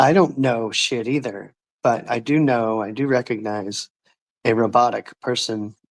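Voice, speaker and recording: A man mumbling at medium pitch, ordinary pitch variation, dry, close sound with no echo. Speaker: ex-scientology YouTuber. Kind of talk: casual chat. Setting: livestream video call.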